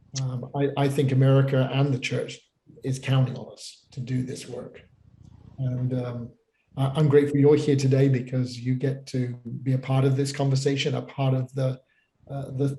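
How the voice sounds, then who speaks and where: A man talks at a moderate pace in a British accent, his pitch medium. His tone is dark, mellow and somewhat breathy, with monotone, flat intonation. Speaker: pastor. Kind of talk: panel discussion. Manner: halting, many repeated words.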